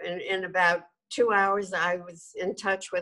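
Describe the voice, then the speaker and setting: Against a quiet background, a woman speaks with a bright, sharp tone. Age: 80s+. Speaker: documentary director, journalist. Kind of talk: interview answer. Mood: warm, animated. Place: home room. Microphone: video call.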